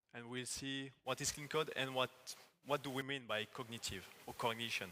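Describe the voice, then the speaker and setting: At a moderate pace, a man with a French accent speaks at a fairly high pitch with ordinary pitch variation. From France. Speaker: agile technical coach. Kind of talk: conference talk. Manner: halting.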